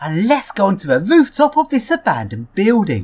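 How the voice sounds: At a moderate pace, a woman speaks at a medium pitch with a slightly husky edge, a slightly mellow tone and very wide pitch swings.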